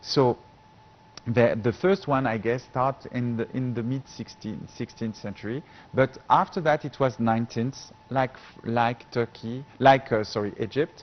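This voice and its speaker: A medium-pitched male voice with a French accent, fairly slow pace and ordinary pitch variation, over noticeable background noise. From France. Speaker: professor. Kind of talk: TV interview. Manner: halting.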